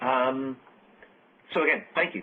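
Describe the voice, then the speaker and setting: Moving at a moderate pace, a man talks with an American accent. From UK. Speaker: software architect. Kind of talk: technical webcast presentation. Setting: conference call webcast.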